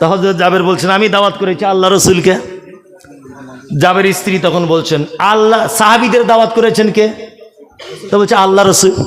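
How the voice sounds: Speaking in a high pitch, a man has a fairly bright tone and fairly even intonation. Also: moderate pace.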